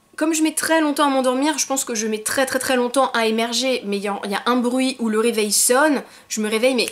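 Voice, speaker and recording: A woman at a high pitch and fairly quick pace, with noticeable background noise. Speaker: YouTuber. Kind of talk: casual vlog monologue. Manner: fast.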